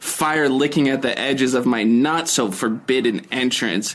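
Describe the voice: The speaker delivers plain reading aloud.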